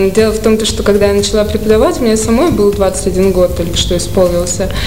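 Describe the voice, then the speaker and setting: Noticeable background noise accompanies a woman at a moderate pace. Her pitch is medium, with ordinary pitch variation. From Saratov, Russia. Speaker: painter. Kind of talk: casual radio interview.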